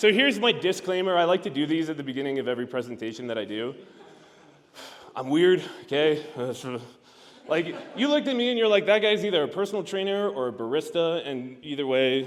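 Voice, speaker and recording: A man with a fairly high pitch, very wide pitch swings and a fairly quick pace, with audible room echo. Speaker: sales consultant. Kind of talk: conference talk. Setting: stage with audience. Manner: fast; animated.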